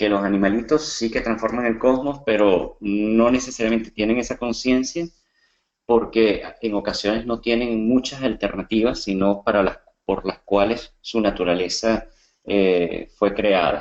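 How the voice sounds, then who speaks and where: A man's medium-pitched voice with a Venezuelan accent, at a fairly slow pace with fairly even intonation. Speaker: coach and comedian. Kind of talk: webinar presentation. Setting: online webinar.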